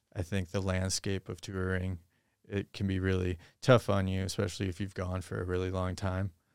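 With an American accent, a man with a very deep, low pitch speaks at a moderate pace on a very clean recording with a silent background. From Minnesota, Twin Cities. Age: 30s. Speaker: music producer and magician. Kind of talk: casual chat.

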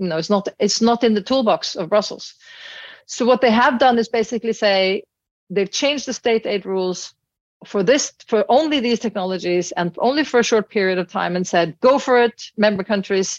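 A woman with a Norwegian accent speaks at a fairly high pitch and a moderate pace. The sound is dry and close, with no echo. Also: ordinary pitch variation, quiet background. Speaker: business executive. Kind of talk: interview. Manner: animated.

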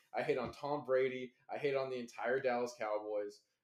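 Speaking with an American accent, a man has a normal speaking voice at medium pitch, with ordinary pitch variation and a moderate pace. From Los Angeles. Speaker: Twitch streamer. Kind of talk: casual chat.

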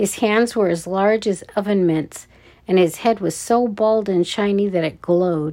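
Plain reading aloud, with ordinary pitch variation.

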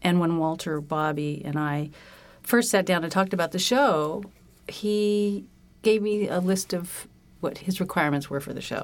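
A woman with a General American accent speaks at a moderate pace with ordinary pitch variation. She has an unremarkable speaking voice. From California. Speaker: set designer. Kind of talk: interview.

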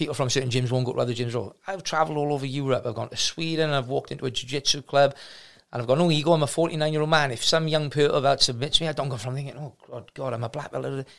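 Speaking very fast with a South Wales accent, a man keeps a fairly high pitch and fairly even intonation. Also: very clean recording, silent background. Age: 40s. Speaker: martial arts gym owner. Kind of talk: casual chat.

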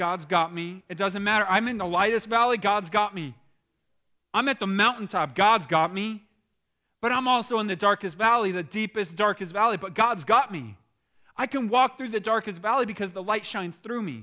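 A man with a high pitch uses a raised, projected voice and a bright, sharp, animated tone at a moderate pace. His pitch varies in an ordinary way, and the recording is very clean with a silent background. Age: 30s. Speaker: pastor. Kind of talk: sermon.

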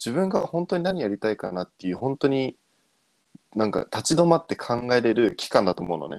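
The speaker is a man using very wide pitch swings. He talks at a fairly quick pace. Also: medium pitch for a man, dry, close sound with no echo. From abroad (returnee). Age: 20s. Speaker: podcast co-host. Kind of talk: casual chat.

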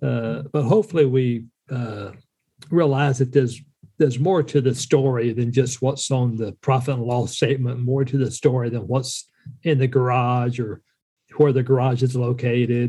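In an Appalachian accent, a man speaks at a moderate pace with a medium pitch, a dark, mellow, somewhat breathy tone, and fairly even intonation. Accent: Southern US (Appalachian). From US South, western North Carolina. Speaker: entrepreneur and business mentor, Air Force veteran. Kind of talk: casual conversational chat.

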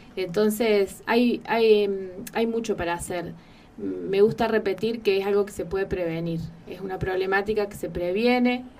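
A woman with a normal speaking voice talks at a medium pitch and a fairly slow pace, her intonation fairly even. Her loudness swings widely. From Argentina, Carpintería (San Luis). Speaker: psychologist. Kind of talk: radio interview.

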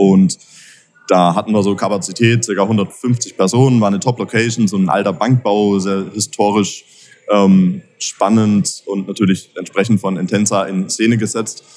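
Fairly low in pitch, this man talks with fairly even intonation. His pace is moderate. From Baden-Württemberg, between Pforzheim and Karlsruhe. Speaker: entrepreneur, event organiser. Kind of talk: interview. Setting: at a live event venue. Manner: many filler sounds (äh, ähm).

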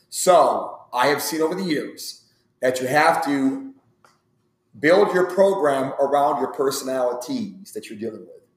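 Amid audible room echo, a man with a fairly high pitch talks at a fairly slow pace, with ordinary pitch variation and big swings in loudness. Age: 40s. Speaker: strength and conditioning coach. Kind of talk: casual interview.

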